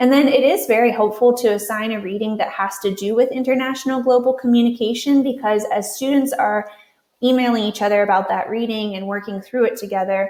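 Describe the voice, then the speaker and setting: A woman's fairly high voice in a Western Pennsylvania accent, fairly quick, with fairly even intonation and audible room echo. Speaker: university writing instructor. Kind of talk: conference presentation.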